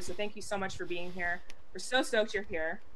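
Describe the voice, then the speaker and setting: A woman's medium-pitched voice amid audible room echo. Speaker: gaming show co-host. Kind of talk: casual chat. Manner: animated.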